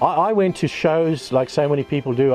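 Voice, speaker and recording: A man with an Australian accent at a moderate pace, with music in the background. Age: 70s. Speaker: solo caravan traveller. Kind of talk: casual personal story to camera. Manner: halting, many fillers and restarts.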